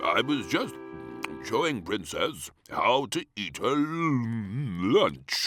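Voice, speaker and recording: Faint music plays behind a man doing a put-on character voice at a medium pitch and a very slow pace. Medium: read story. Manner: jolly, fond.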